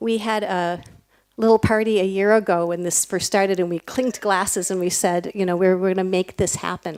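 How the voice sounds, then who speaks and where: In a very clean recording with a silent background, a woman with a normal speaking voice talks at a fairly quick pace and medium pitch, her intonation fairly even. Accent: American. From United States. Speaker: nonprofit program leader. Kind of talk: ceremony speech.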